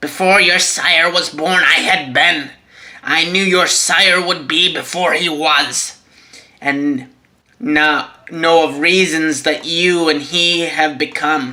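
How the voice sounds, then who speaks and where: The voice is a put-on character voice at a middle pitch. It moves at a fairly slow pace. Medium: read story. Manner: grave, formal.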